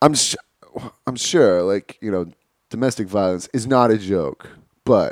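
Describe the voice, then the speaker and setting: The voice swings very widely in pitch, with a dry, close sound and no echo. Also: man. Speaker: podcast co-host. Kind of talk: casual banter comedy chat. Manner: joking, sarcastic.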